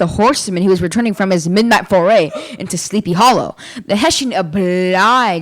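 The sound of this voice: Ordinary pitch movement in an unforced reading voice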